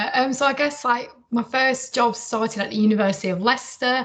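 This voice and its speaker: Over noticeable background noise, a woman with a northern English accent talks at a fairly quick pace. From northern England. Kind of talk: interview. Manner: hesitant with many fillers.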